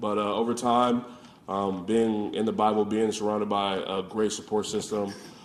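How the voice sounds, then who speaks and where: Audible room echo surrounds a man with an American accent who speaks in a fairly low, flat monotone. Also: moderate pace. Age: 20s. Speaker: college football player. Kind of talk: press conference.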